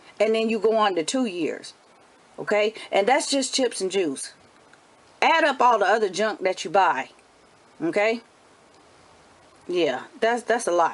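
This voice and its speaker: Over noticeable background noise, a woman speaks at a fairly slow pace with long, frequent pauses. Her fairly high voice is animated, with very wide pitch swings. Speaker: homeschooling mom vlogger. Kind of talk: motivational talk to camera.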